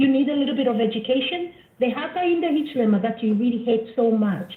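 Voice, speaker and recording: A woman speaks at a high pitch with very wide pitch swings. Noticeable background noise is present. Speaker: caller. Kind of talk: call-in comment. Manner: quiet.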